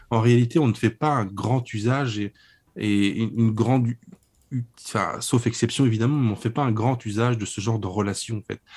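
A man talks at a moderate pace with medium pitch and fairly even intonation, in a plain, everyday voice. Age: 30s. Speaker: book publisher and author. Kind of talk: interview on political book. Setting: remote call over internet.

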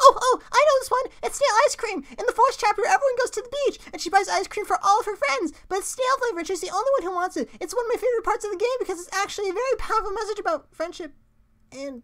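Using a put-on character voice, a man speaks very fast at an extremely high pitch. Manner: nervous, rambling, stammering.

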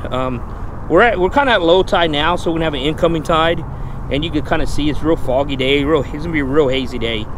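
Against noticeable background noise, a man speaks at a very fast pace with ordinary pitch variation, the sound dry with no echo. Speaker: fishing vlogger. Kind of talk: casual vlog chat. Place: boat. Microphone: phone near.

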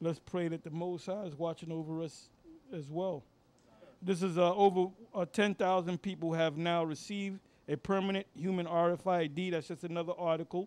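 A man speaks in a high-pitched voice. His intonation is fairly even. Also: moderate pace. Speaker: religious teacher. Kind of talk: scripture study lesson. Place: studio. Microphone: handheld.

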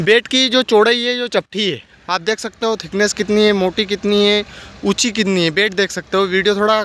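A man projects his raised voice with fairly even intonation. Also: dry sound with no echo. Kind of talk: tutorial. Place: open country. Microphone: phone near.

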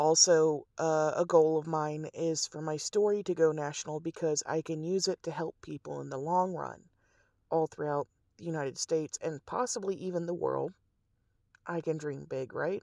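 A woman with a Southern US accent speaks at a moderate pace in a very deep, low pitch and a dark, mellow tone. Her intonation is fairly even, and the sound is dry and close, with no echo. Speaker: activist. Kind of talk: rally speech. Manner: rambling, veers off subject.

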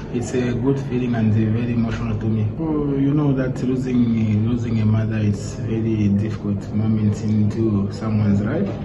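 Over music in the background, a man talks at a moderate pace with hardly any pauses. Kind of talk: post-match interview answer. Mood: emotional, reflective. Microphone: phone near.

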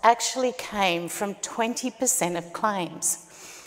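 A woman with an Australian accent speaks at a very slow pace. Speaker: startup founder. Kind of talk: pitch presentation. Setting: stage with audience. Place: stage.

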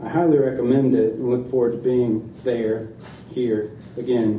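A man is heard with audible room echo. Light background noise sits behind him. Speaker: reader at a book event. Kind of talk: reading aloud from a book. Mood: calm, reflective. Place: shop. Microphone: podium.

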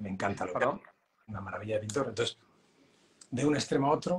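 Light background noise runs beneath this man's speech. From Spain. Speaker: realist painter and teacher; teacher. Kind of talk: casual interview. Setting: live stream. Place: home room. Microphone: video call.

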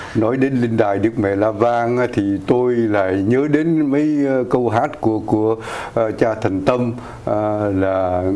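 A man at a very slow pace, with ordinary pitch variation. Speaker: auxiliary bishop. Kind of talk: interview on community news show. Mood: warm, smiling. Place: studio. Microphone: lapel.

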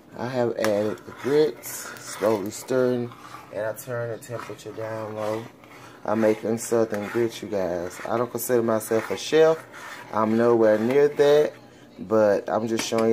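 At a moderate pace, a man speaks with noticeable background noise throughout. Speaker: home vlogger. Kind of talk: casual vlog chat. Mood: warm and affectionate. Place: kitchen. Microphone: phone near.

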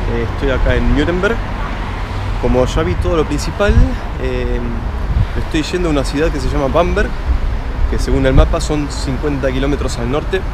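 A man speaks in a dry sound with no echo over loud background noise. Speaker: travel vlogger. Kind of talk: casual vlog chat. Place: station. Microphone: phone near.

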